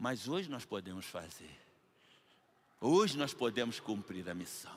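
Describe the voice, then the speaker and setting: A man with a medium-pitched voice and lively intonation. He talks very slowly. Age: 70s. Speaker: pastor. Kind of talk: sermon. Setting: church. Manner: animated.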